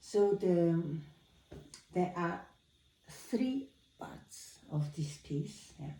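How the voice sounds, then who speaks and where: Somewhat breathy and dark, mellow in tone, a woman with a fairly low pitch speaks very slowly with lively intonation, big swings in loudness, and long, frequent pauses. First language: not Dutch or English. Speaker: piano teacher. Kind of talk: tutorial. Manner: halting.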